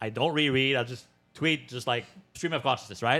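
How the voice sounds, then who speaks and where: A man speaks in a bright, sharp tone. His pitch varies in an ordinary way. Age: 30s. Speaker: online business consultant. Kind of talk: casual interview chat.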